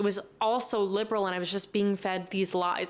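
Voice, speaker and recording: A woman with an American accent, medium pitch, a fairly quick pace and monotone, flat intonation. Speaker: podcast host. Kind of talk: casual Q&A monologue. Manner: loud, chatty.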